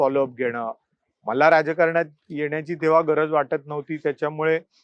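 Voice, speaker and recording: A man's fairly high voice stays monotone and flat, with a dry, close sound and no echo. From Mumbai, Worli. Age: 40s. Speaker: newspaper editor and political candidate. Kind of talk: interview.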